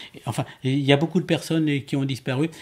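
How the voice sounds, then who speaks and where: A man talks in a somewhat breathy voice. The recording is very clean, and the background is silent. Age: 70s. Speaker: amateur astronomer and ufologist. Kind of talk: interview. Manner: halting, many repetitions and hesitations.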